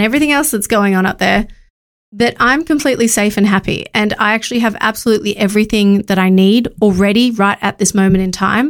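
A woman with an Australian accent speaks at a fairly quick pace in a medium pitch, keeping her intonation fairly even. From Australia, Sydney northern beaches. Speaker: podcast host and marketing agency founder. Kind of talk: solo motivational talk.

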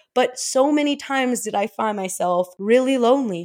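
In a very clean recording with a silent background, a woman with a fairly high pitch speaks in an animated tone at a moderate pace with ordinary pitch variation. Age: 20s. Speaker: podcast host. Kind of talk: solo podcast monologue. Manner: casual, animated.

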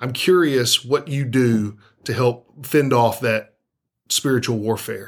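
A man with an American accent speaks at a very slow pace. His medium pitch has ordinary variation. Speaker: podcast co-host. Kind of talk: casual interview.

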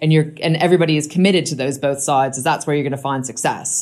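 With an American accent, a woman speaks in a very deep, low pitch that shows ordinary variation. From US. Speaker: rail project chief executive. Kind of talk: interview.

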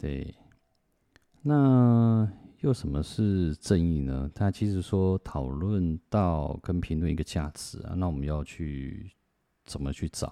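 A man's very deep, low voice with a Taiwanese accent, dark and mellow in tone, very slow yet lively in intonation, in a dry, close sound with no echo. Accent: Taiwanese Mandarin. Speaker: podcaster. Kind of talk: book review monologue. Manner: soft-spoken; halting.

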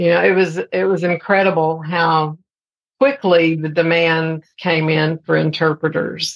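Here a woman speaks with a fairly low pitch at a fairly slow pace. She has an unremarkable speaking voice. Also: ordinary pitch variation. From Texas, Amarillo. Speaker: sign language interpreter and educator. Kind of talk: interview.

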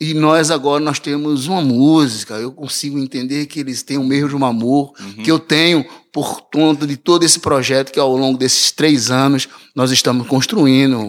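A plain, everyday voice at a moderate pace, with fairly even intonation. The recording is very clean, with a silent background. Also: man, fairly high pitch for a man. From Recife, Brazil. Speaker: musician. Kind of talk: casual interview.

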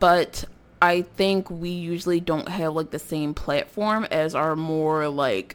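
Speaking very slowly, a woman with an American accent has a fairly low pitch and ordinary pitch variation. The recording is very clean, with a silent background. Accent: tone of voice often taken for suburban. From North Philadelphia, US. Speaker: podcaster. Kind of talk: casual monologue. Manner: rambling, frequent fillers and laughs.

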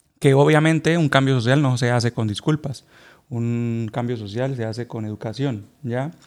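A man talks at a moderate pace and a medium pitch. His pitch variation is ordinary. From Colombia. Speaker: podcast co-host. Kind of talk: casual chat. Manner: loud.

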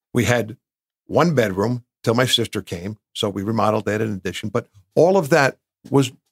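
A man speaks with an American accent in an ordinary speaking voice at a medium pitch. His intonation is lively, and the sound is dry and close with no echo. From New Jersey (Bloomfield). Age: 60s. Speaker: business owner, recovering addict. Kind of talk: interview testimony.

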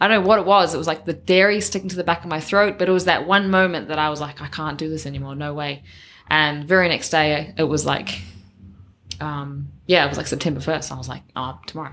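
A woman with a New Zealand accent talks at a very fast pace in a very deep, low pitch. Her pitch variation is ordinary, while her loudness swings widely. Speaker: personal trainer and CrossFit coach. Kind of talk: casual interview chat.

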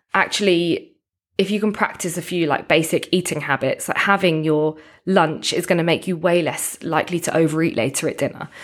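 A woman with an ordinary speaking voice talks at a fairly low pitch with fairly even intonation on a very clean recording over a silent background. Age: 30s. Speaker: nutrition coach and personal trainer. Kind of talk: interview conversation.

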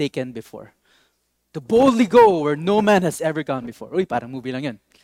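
A man speaks in a Filipino accent with a high pitch and lively intonation, the sound dry and close with no echo. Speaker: pastor. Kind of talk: sermon. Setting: online church service video.

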